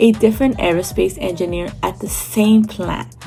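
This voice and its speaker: Music in the background behind a woman's moderately paced speech. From California. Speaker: real estate agent. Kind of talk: real estate explainer to camera.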